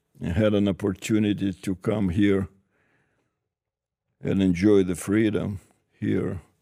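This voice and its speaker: Very slow male speech in a Russian accent, fairly low in pitch, dark and mellow in tone, monotone and flat, with long, frequent pauses. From former Soviet Union. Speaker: business advisor. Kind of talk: interview. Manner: halting.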